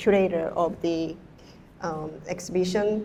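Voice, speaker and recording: This voice carries a dark, mellow tone. Its delivery is fairly slow. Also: woman. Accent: Korean. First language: Korean. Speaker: artist and hair stylist. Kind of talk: panel discussion Q&A. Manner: halting.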